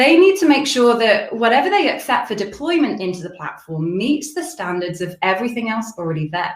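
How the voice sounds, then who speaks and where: With audible room echo, a woman talks at a fairly quick pace in a fairly high pitch, with very wide pitch swings and hardly any pauses. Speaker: tech company field CTO presenting. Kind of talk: conference webinar presentation.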